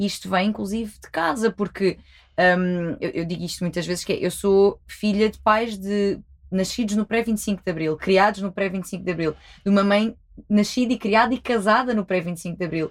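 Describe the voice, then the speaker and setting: A woman with a plain, everyday voice speaks at a medium pitch and a moderate pace, her intonation fairly even, on a very clean recording with a silent background. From Algarve, Portugal. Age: 20s. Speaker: sexologist. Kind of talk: casual chat.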